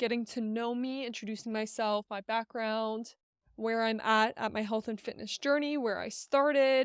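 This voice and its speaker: A woman with an ordinary speaking voice talks at a fairly slow pace and fairly high pitch. The recording is very clean, with a silent background and a dry, close sound with no echo. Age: 20s. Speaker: fitness coach and podcast host. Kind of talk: casual solo podcast talk. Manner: casual, filler-heavy.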